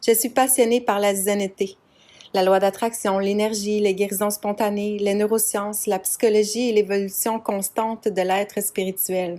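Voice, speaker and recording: Speaking at a fairly slow pace, a woman uses a medium pitch and a dark, mellow tone with monotone, flat intonation. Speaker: podcast host, massage therapist, hypnotherapist, coach. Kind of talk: casual personal podcast monologue. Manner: conversational, informal, storytelling.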